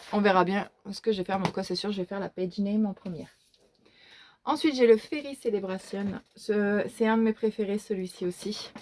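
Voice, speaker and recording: Pausing often and at length, a woman speaks at a moderate pace and medium pitch with ordinary pitch variation. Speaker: YouTuber showing her coloring book collection. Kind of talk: casual show-and-tell video. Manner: hesitant, many fillers.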